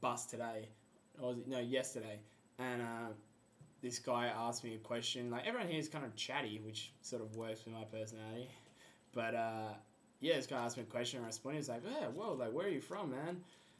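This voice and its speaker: Speaking at a very fast pace, a man with an Australian accent talks at a medium pitch. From Australia, Perth. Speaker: exchange student vlogger. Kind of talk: casual video blog. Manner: casual, filler-heavy.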